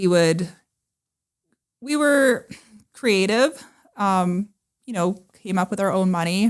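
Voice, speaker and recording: A woman with a western Canadian accent speaks very slowly, with long, frequent pauses. Her medium-pitched voice has lively intonation. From northern British Columbia, Canada. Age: 30s. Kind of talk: interview. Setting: podcast.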